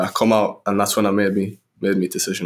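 A man with a Sunderland accent speaks very fast in a monotone, his intonation flat and his pitch fairly low. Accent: Mackem (Sunderland). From northeast England, Sunderland. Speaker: professional footballer. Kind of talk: interview.

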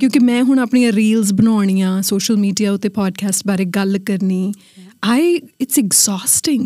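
On a very clean recording with a silent background, a woman speaks in a dark, mellow tone at medium pitch. Her voice is somewhat breathy, with ordinary pitch variation and a fairly slow pace. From India. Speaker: podcast host. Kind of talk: casual chat.

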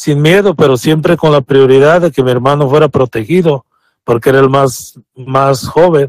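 A man speaks with ordinary pitch variation. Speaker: immigrant father telling his story. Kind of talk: personal testimony. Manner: reserved, few words. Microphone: shares Bluetooth with wife, sounds a bit far.

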